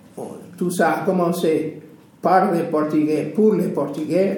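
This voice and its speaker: A man at a fairly high pitch and very slow pace, with audible room echo and noticeable background noise. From Portuguese background. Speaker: retired civil servant, association volunteer. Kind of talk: interview. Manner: halting.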